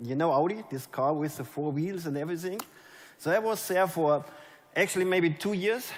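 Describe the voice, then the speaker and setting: A man with a German accent talks at a moderate pace, his pitch fairly high with ordinary variation. Room echo is audible. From Germany. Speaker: network marketing leader. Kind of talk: motivational speech. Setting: stage with audience. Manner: animated.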